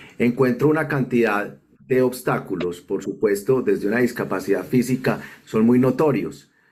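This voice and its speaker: An ordinary speaking voice with lively intonation, very even loudness and a moderate pace. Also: man, medium pitch for a man. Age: 50s. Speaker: accessibility consultant, wheelchair user. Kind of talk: recorded video testimony.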